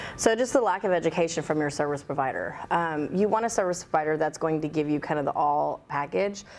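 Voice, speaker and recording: A woman with a very deep, low pitch races along at a very fast pace, with hardly any pauses and very even loudness. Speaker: pool business owner. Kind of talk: podcast interview. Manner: loud, outspoken.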